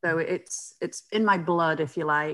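A woman with a British accent speaks at a fairly slow pace. Her voice is low in pitch, with a fairly bright tone and ordinary pitch variation.

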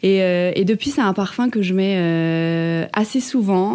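The woman speaks very slowly. Her tone comes across dark and mellow. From France, Ardennes (Charleville-Mézières). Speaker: cabaret dancer. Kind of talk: interview. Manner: hesitant, many fillers.

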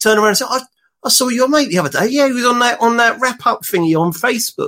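A man with a London accent speaks with lively intonation. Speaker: dating blogger and father. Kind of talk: casual chat.

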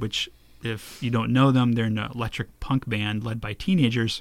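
A man with an unremarkable speaking voice talks at a moderate pace and medium pitch, keeping his intonation fairly even. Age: 40s. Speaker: podcast host. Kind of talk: interview. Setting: home recording studio.

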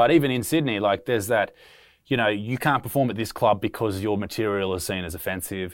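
In an Australian accent, a man with a fairly low voice and ordinary pitch variation speaks at a fairly quick pace on a very clean recording with a silent background. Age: 20s. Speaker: comedian and podcast host. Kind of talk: casual chat.

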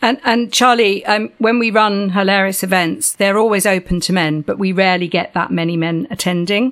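Speaking at a moderate pace with hardly any pauses, a woman holds a medium pitch with ordinary pitch variation. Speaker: podcast host. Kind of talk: interview, scripted intro then casual chat. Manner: warm, upbeat, animated.

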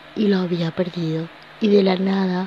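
A woman speaks in a fairly low, monotone voice with flat intonation at a fairly slow pace. Noticeable background noise is present. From Venezuela. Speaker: podcast host, life coach. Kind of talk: motivational monologue.

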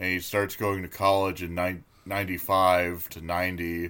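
A man speaks at a very slow pace in a very deep, low voice. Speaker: podcast co-host. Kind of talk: casual chat.

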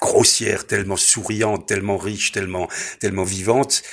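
The man has an Alsatian accent. His fairly low voice keeps a fairly even intonation. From Alsace. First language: Alsatian (speaking French). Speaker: singer-songwriter and humorist, theatre director. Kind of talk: interview.

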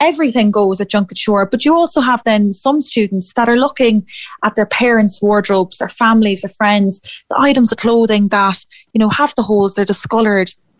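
With an Irish Midlands accent, a woman speaks at a fairly quick pace and fairly high pitch, her pitch varying in an ordinary way, the sound dry and close with no echo. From Ireland, Athlone. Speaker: youth fashion competition PR head. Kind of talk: radio interview.

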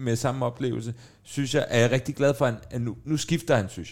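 A man speaks at medium pitch and a moderate pace, with vocal fry. The recording is very clean, with a silent background. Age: 40s. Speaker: podcast host. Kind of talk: casual chat.

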